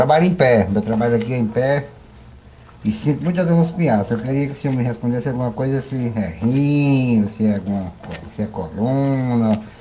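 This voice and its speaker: This man has a plain, everyday voice with a medium pitch. He talks at a moderate speed with lively intonation. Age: 60s. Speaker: listener calling in. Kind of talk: recorded voice message. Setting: voice message to radio show.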